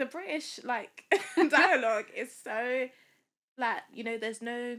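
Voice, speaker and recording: With a London accent, a woman speaks at a high pitch in a bright, sharp tone, at a fairly slow pace with ordinary pitch variation. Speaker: software engineer and dating app founder. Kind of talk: podcast interview.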